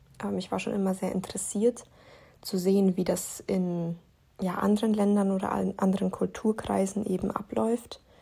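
A woman's somewhat breathy, dark, mellow voice at medium pitch, with fairly even intonation and a moderate pace. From Lower Bavaria, Germany. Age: 20s. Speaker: podcaster, university student. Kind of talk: personal monologue, testimony. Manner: halting, many filler sounds.

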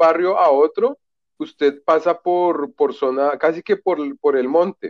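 Speaking at a fairly slow pace, a man with a fairly high pitch and ordinary pitch variation has a normal speaking voice. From Colombia (Bogotá). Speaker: literature graduate. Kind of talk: casual chat.

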